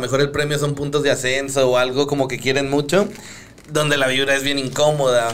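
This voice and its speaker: A man talks in a fairly high pitch. Noticeable background noise sits behind him. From Santa Catarina, Monterrey area, Mexico. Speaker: freestyle rapper. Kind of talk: casual chat.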